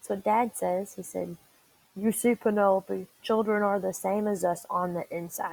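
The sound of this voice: Simply an unforced reading voice.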